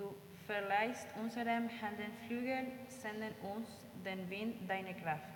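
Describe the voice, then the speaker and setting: Amid audible room echo and noticeable background noise, a woman with a fairly high pitch speaks at a very slow pace with fairly even intonation. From Argentina. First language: Spanish (speaking German). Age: 20s. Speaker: volunteer in a kindergarten. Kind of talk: interview answers; reading intercessory prayers. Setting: church service with congregation. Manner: halting.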